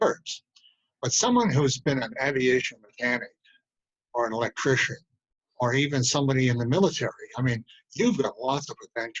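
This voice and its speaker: Recorded dry and close with no echo, a man speaks at a fairly quick pace but with long, frequent pauses. His medium pitch shows ordinary variation, and his voice is somewhat breathy. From Connecticut. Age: 80s+. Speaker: military veteran, businessman. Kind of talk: interview answer.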